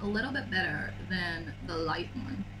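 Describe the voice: A raspy voice with ordinary pitch variation, heard with audible room echo and clear background noise. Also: woman.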